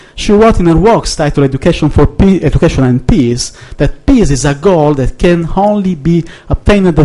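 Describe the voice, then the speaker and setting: A man's high voice in an Italian accent, at a moderate pace. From Italy. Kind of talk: conference speech. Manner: halting, hesitant.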